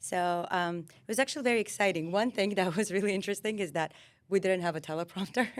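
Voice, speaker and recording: Speaking very fast in an Armenian accent, a woman with a medium pitch uses ordinary pitch variation, captured in a very clean recording with a silent background. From Armenia, Yerevan; moved to US at 14-15. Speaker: lawyer. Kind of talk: casual interview.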